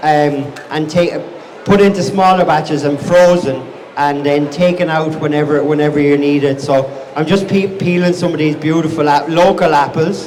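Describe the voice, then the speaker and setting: With a Wexford accent, a man speaks at a moderate pace in a fairly high pitch with fairly even intonation, amid audible room echo and noticeable background noise. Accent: Wexford Irish. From Ireland, County Wexford (southeast). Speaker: chef and restaurant owner. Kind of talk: live cookery demonstration. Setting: outdoor market stage with audience. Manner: casual, repeats and restarts words.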